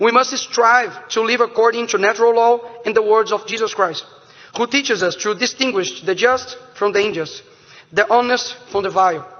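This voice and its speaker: Over noticeable background noise, a high-voiced man speaks at a moderate pace with ordinary pitch variation. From Brazil. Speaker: politician. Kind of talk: political speech. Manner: halting, repeats words.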